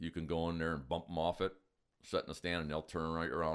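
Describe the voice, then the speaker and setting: A man speaks with an American accent at a very deep, low pitch. Vocal fry runs through his voice. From Wisconsin. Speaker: deer hunter. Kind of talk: casual chat.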